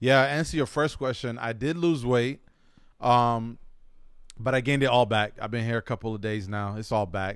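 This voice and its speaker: In a plain, everyday voice with an American accent, the speaker goes at a moderate pace with ordinary pitch variation, recorded very cleanly against a silent background. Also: man, medium pitch for a man. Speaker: podcast host. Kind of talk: casual chat.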